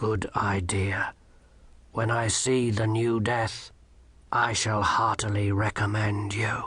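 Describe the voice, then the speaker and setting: A man puts on a raspy character voice at a medium pitch, speaking at a fairly slow pace with monotone, flat intonation. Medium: read story. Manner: grave, measured, deadpan.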